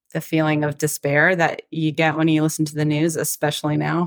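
In a Southern US accent, a woman with a very deep, low pitch speaks at a moderate pace, in a dry, close sound with no echo. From Atlanta, Georgia, US South. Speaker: country singer-songwriter. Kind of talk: interview.

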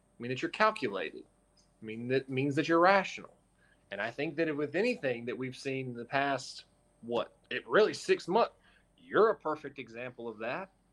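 A man's unremarkable speaking voice, fairly high in pitch, with lively intonation, big swings in loudness and a moderate pace. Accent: American. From North Carolina. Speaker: sports reporter. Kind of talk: casual chat.

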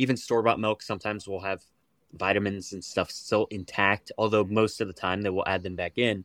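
A plain, everyday voice from a man with an American accent, fairly low in pitch and fairly even in intonation, with a dry, close sound and no echo. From West Virginia. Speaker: raw milk advocate. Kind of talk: interview.

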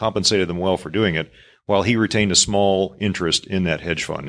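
On a very clean recording with a silent background, a man speaks at a fairly quick pace in a very deep, low pitch. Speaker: panelist, military retiree and author. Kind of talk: panel discussion. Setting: live event with audience in lodge.

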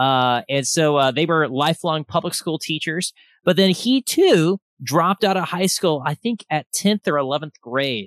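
Over a quiet background, a man with a plain, everyday voice and fairly high pitch talks at a moderate pace with lively intonation, the sound dry and close with no echo. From Texas, Austin. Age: 30s. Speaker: podcast host and entrepreneur. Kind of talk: casual interview chat. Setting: video call.

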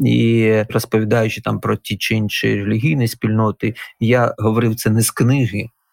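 Delivered at a moderate pace, the speech stays monotone and flat, its loudness very even throughout. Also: man, medium pitch for a man. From Ukraine, Donetsk. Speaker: historian and religious scholar, former captive. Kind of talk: interview.

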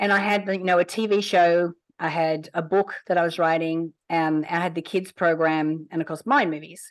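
Fairly even in intonation, a woman with an unremarkable speaking voice talks at a fairly low pitch. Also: moderate pace, quiet background. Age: 50s. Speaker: entrepreneur running a children's program. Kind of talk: interview.

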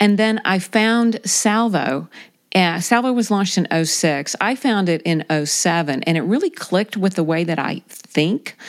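A woman with an American accent has an unremarkable speaking voice at a medium pitch. Her loudness stays very even as she talks at a fairly slow pace with lively intonation. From South Carolina. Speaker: magazine editor and writer. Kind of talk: casual interview.

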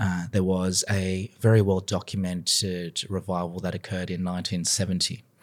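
A man with an Australian accent speaks at a moderate pace, very deep and low in pitch, with monotone, flat intonation and hardly any pauses. The recording is very clean, with a silent background. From Sydney, Australia. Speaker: business professor and pastor. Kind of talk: testimony.

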